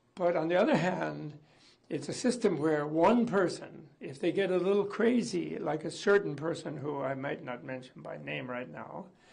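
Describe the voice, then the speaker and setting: Audible room echo surrounds a man with a fairly high pitch and lively intonation. He talks at a moderate pace with big swings in loudness. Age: 80s+. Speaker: interviewee commenting on a political leader. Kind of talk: interview.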